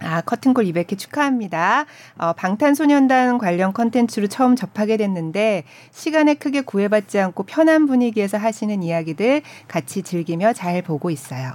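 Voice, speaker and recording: A woman's fairly high voice moves at a moderate pace with very wide swings in pitch. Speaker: announcer co-hosting an arts podcast. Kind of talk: casual arts talk show chat. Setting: studio. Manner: warm, reactive.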